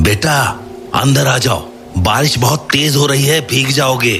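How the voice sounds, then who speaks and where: Someone speaks in a cartoonish character voice at a fairly slow pace. Background noise is clearly audible. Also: man, medium pitch for a man. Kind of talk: horror story acting. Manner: insistent, scolding.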